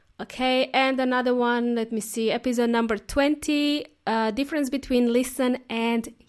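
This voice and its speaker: This woman has a cheerful tone and a European accent, with a fairly high pitch. She talks at a fairly slow pace on a very clean recording with a silent background. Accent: non-native European. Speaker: English teacher podcast host. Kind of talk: language lesson podcast monologue. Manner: cheerful, laughs often.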